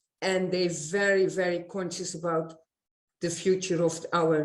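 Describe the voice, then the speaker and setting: A fairly slow, fairly low-pitched woman's voice in a Dutch accent. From Netherlands. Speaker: eco-village resident. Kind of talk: panel discussion. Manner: halting.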